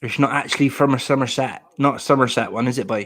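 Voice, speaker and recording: A man's medium-pitched voice with a Devon accent at a moderate pace. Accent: Plymouth (Janner) Devon. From Plymouth, Devon, southwest England. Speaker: live streamer. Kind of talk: casual live stream chat.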